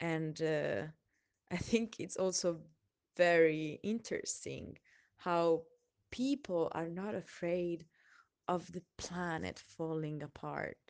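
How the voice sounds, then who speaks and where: A woman with an Italian accent talks at a very slow pace in a fairly low voice. Her speech has long, frequent pauses. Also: ordinary pitch variation. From Italy. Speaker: person sharing a personal reflection. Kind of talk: personal testimony. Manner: hesitant, with frequent laughs.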